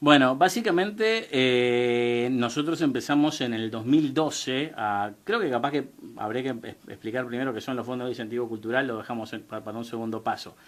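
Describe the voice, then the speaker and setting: At a moderate pace and a medium pitch, a man talks with ordinary pitch variation and hardly any pauses. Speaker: radio and TV show producer. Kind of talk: radio interview. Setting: radio studio, live broadcast. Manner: halting, many fillers.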